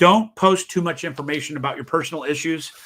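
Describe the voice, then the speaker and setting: Animated and bright, a man's sharp tone sits at a fairly high pitch. He talks at a fairly quick pace. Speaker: real estate broker and sales trainer. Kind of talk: interview. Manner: fast.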